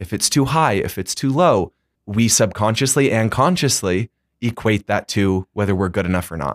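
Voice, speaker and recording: On a very clean recording with a silent background, a man has an unremarkable speaking voice at a fairly low pitch. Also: moderate pace, dry, close sound with no echo. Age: 20s. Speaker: student body president. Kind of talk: casual chat.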